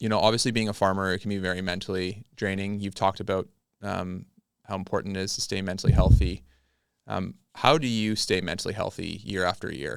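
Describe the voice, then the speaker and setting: In a Canadian accent, a man talks at a very fast pace with a fairly low pitch. His pitch varies in an ordinary way, and the recording is very clean with a silent background. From British Columbia, Canada. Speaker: farmer and podcast host. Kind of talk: casual interview. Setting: podcast studio.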